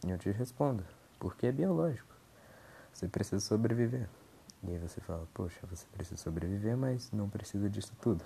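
Somewhat breathy and dark, mellow in tone, a man's fairly low voice moves at a fairly quick pace broken by long, frequent pauses. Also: ordinary pitch variation. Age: 20s. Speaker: podcaster. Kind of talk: casual monologue. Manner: halting.

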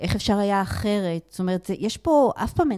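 The sound is dry and close, with no echo. A woman speaks at medium pitch. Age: 50s. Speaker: emotional therapist and communication lecturer. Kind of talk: interview. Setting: studio.

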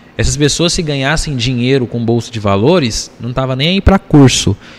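Lively intonation at a moderate pace, with a dry, close sound without echo and noticeable background noise. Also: man. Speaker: entrepreneur and investor. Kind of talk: casual chat.

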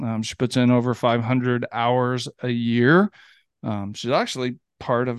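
An ordinary speaking voice from a man at medium pitch, moving at a fairly slow pace. The sound is dry and close with no echo, over a quiet background. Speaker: podcast host. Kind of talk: casual interview.

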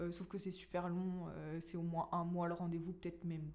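Speaking at a moderate pace, a woman keeps her fairly low pitch monotone and flat. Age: 20s. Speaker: middle school teacher. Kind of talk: testimony. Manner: halting.

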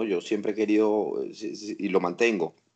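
Over a quiet background, a man with a Venezuelan accent speaks at a fairly slow pace. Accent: Venezuelan Spanish, kept. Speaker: father. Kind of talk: casual family chat.

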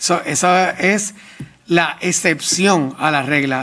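Using ordinary pitch variation, a man speaks in a high pitch. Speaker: government official. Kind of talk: testimony at public hearing. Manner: halting.

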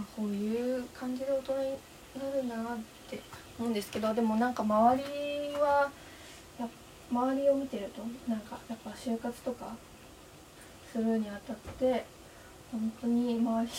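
Amid noticeable background noise, a woman with a fairly high pitch speaks at a moderate pace in a monotone, flat intonation, with long, frequent pauses. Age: 20s. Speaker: university student podcaster. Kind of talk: casual solo monologue. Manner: halting.

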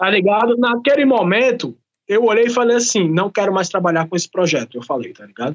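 A man's high voice at a fairly quick pace, with big swings in loudness and lively intonation. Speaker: rapper and master of ceremonies. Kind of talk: casual chat.

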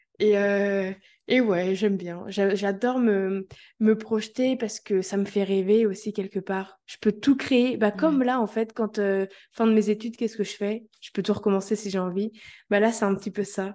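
Against a quiet background, a woman speaks at a medium pitch and moderate pace, with fairly even intonation and a dark, mellow tone. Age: 20s. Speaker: holistic coach. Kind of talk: interview.

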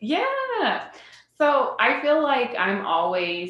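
A woman speaks with a Midwestern US accent. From central Illinois (Decatur). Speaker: social worker. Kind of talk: casual interview.

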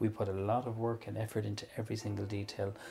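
A man with an Ulster accent, a fairly low pitch and a dark, mellow, somewhat breathy tone, talking very fast in a flat monotone. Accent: Irish (Cavan). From Ireland, County Cavan. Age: 40s. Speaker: chef and restaurant owner. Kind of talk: casual interview.

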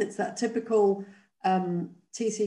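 A woman's slow speech in a dark, mellow tone, with fairly even intonation and audible room echo

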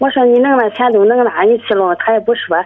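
At a moderate pace, a woman talks in an ordinary speaking voice. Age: 40s. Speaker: caller, live-in domestic worker. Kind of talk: phone-in confession.

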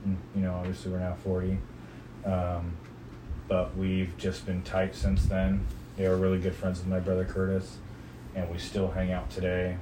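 A man with an American accent speaks at a very deep, low pitch in a dark, mellow tone. His delivery is flat and monotone at a moderate pace, with long, frequent pauses. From California. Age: 40s. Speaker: father being interviewed by his daughter. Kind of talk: oral history interview, reminiscing life story for his daughter, nostalgic and candid. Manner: relaxed, conversational, humorous, laughs at memories, sincere and earnest at the end.

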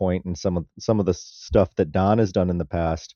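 A man's very deep, low voice holds fairly even intonation at a moderate pace. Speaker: podcast host. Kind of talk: casual chat.

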